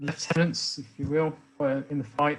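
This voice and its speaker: A man talks at a fairly high pitch with fairly even intonation. His voice is somewhat breathy. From England. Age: 60s. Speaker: speaker on racism. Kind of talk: talk to an online meeting.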